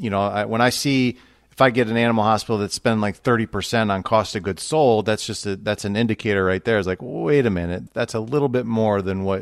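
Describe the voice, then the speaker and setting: On a very clean recording against a silent background, a man with a Midwestern American accent and a fairly low pitch talks at a fairly quick pace with hardly any pauses. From US Midwest, Toledo, Ohio. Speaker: financial advisor. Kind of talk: interview.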